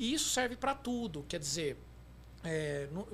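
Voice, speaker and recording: This is a man speaking. He keeps a moderate pace. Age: 40s. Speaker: consulting firm director. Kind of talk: casual chat.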